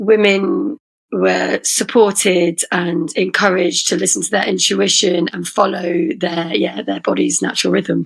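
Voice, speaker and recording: In an English Midlands accent, a woman speaks at a moderate pace. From England, Leicester. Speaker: poet and rapper. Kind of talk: casual chat.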